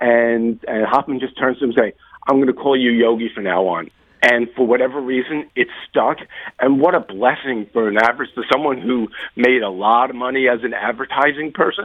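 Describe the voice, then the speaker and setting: A man's unremarkable speaking voice, medium in pitch, fairly quick, with ordinary pitch variation. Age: 60s. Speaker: author. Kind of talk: interview.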